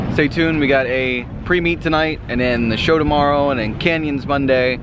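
A man's voice with ordinary pitch variation, dry with no echo, over noticeable background noise. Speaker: car vlogger. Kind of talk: casual vlog chat. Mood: upbeat, impressed. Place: waterside. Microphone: phone near.

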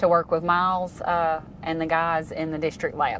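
Monotone, flat delivery in a Louisiana accent at a moderate pace, with a dry, echo-free sound over light background noise. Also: woman. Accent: Southern US (Louisiana). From North Central Louisiana. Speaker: state highway pavement engineer. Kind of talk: casual technical interview. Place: car.

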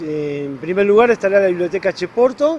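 Lively intonation and a fairly quick pace come through a dry sound with no echo and light background noise. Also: man. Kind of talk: interview answer. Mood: friendly, enthusiastic. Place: street. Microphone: handheld.

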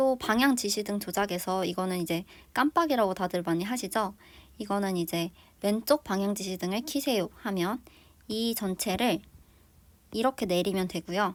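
On a very clean recording with a silent background, the speaker keeps a moderate pace and ordinary pitch variation, with long, frequent pauses. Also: woman, medium pitch for a woman. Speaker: vlogger. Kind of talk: tutorial.

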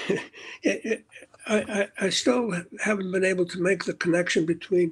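Against a quiet background, a man talks at a fairly slow pace in a high pitch. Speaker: support group member. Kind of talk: group Q&A. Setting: video call. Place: home room. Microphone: video call.

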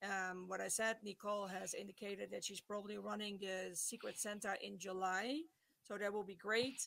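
A woman talks at a moderate pace and a medium pitch. Her intonation is fairly even. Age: 60s. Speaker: pet charity group organizer; podcast guest. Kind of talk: interview. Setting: video call. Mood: warm, storytelling. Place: home room.

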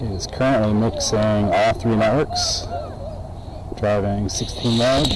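Over noticeable background noise, the speech moves at a very slow pace with a dry sound and no echo. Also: man. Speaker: hobbyist streamer testing gear. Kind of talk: tech demo commentary. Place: stadium. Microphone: phone near.

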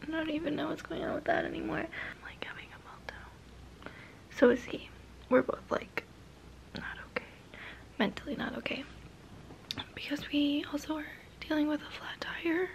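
A woman is whispering, with long, frequent pauses. Her loudness swings widely. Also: moderate pace. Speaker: vlogger on a road trip. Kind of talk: casual vlog chat. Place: home room. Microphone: phone near.

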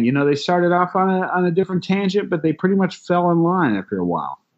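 In an American accent, a man speaks very fast at a high pitch. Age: 30s. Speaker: astrologer and tarot reader. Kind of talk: casual interview. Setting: video call.

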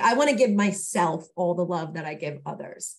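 The speaker sounds somewhat breathy and shows ordinary pitch variation. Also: woman. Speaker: podcast co-host. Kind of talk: casual chat. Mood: warm, earnest self-reflection. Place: home room. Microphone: video call.

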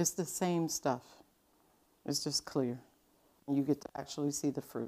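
Dark, mellow tone at a fairly slow pace. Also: woman.

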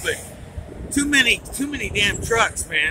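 Against loud background noise, a man talks at a fairly slow pace in a dry recording with no echo. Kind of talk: casual vlog chat. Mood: irritated, complaining. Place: bicycle. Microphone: phone near.

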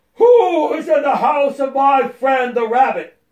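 A man in a put-on character voice speaks loudly at a fairly slow pace with an extremely high pitch. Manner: very loud, calling out.

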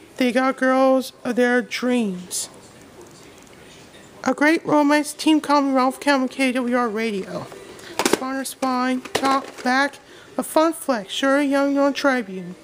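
A woman speaks at a very slow pace, with long, frequent pauses and ordinary pitch variation. Noticeable background noise is present. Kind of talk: casual collection show-and-tell. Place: home room. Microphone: phone near.

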